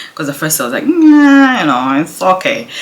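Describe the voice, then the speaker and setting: A woman speaks quietly. Noticeable background noise runs behind her. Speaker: pregnant mother vlogger. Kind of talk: casual talk to camera. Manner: quiet, low voice.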